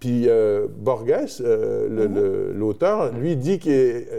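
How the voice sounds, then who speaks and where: In a dark, mellow tone, a man at a medium pitch speaks with lively intonation. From Quebec, Terrebonne. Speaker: musician. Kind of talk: interview. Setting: studio, blindfolded.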